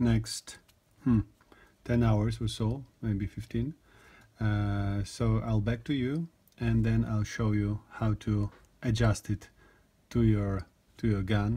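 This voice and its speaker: A man with a non-native accent speaks at a very slow pace. He leaves long, frequent pauses. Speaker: gun hobbyist video maker. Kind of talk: tutorial. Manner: halting, many fillers and repetitions.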